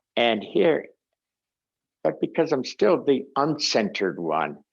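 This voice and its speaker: A man is talking. His pace is fairly slow. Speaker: meditation teacher. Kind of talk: online class teaching. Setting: video call. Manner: halting.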